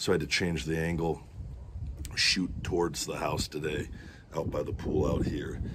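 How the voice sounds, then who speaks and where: Loud background noise sits behind a man who talks at a fairly slow pace. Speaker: food vlogger. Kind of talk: casual vlog chat. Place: garden. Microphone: phone near.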